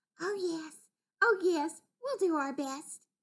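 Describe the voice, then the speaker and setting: Using a squeaky put-on character voice at extremely high pitch, a woman speaks at a fairly slow pace. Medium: read story. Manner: innocent-sounding, sly.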